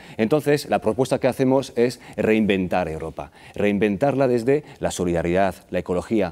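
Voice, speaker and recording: On a very clean recording with a silent background, the voice has a dark, mellow tone, a slight non-native accent and ordinary pitch variation. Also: man. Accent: near-native Spanish, hardly noticeable. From France. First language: French (speaking Spanish). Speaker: political candidate. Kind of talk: TV interview.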